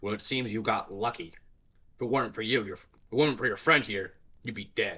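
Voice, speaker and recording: Putting on a raspy character voice, a man speaks at a medium pitch and a moderate pace, leaving long, frequent pauses. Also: ordinary pitch variation. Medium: read story.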